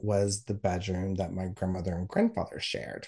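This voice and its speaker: A man with an American accent speaks at a fairly low pitch. His voice is somewhat breathy against a quiet background. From US South. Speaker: podcaster guest sharing personal story. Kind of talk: casual interview, personal storytelling.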